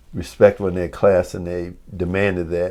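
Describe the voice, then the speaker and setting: Against a quiet background, a man speaks with a Mississippi accent at a moderate pace. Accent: Southern US, Mississippi. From New Albany, Mississippi. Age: 70s. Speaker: former basketball player. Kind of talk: oral history interview answer.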